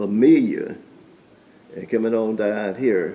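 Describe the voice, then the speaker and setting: A man with a Southern US accent, speaking very slowly, with noticeable background noise. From Orlando, Florida. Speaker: lawyer. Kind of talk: interview answer.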